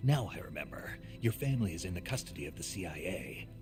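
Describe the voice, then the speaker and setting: A man's very deep, low put-on character voice at a very fast clip, over loud background music. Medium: video game. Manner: terse, determined.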